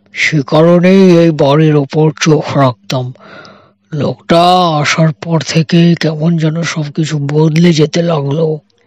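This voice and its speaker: A man puts on a character voice, fairly high in pitch and monotone, flat in intonation, delivered at a fairly slow pace with very even loudness. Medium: read story. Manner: modest, earnest.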